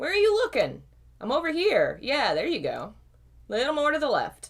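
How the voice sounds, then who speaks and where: A woman uses a put-on character voice. It is pitched extremely high. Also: moderate pace. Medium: read story. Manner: casual, teasing.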